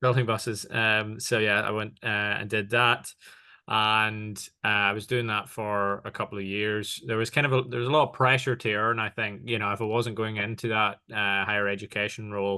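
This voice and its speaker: A man's fairly low voice, bright and sharp in tone, monotone and flat in intonation, at a moderate pace over a quiet background. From Northern Ireland. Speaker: tech partnerships executive. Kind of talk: interview. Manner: many fillers and hesitations.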